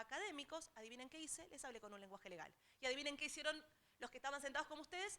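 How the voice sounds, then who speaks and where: With an Argentine accent, a woman uses a raised, projected voice at a high pitch. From Argentina. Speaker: technology transfer specialist. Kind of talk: seminar talk.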